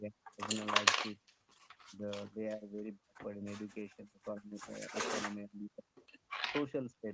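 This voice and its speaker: Soft-spoken, a man talks at a fairly quick pace in a dry, close sound with no echo. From India, Karnataka. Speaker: public welfare officer. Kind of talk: language-practice conversation on video call. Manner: halting, many fillers.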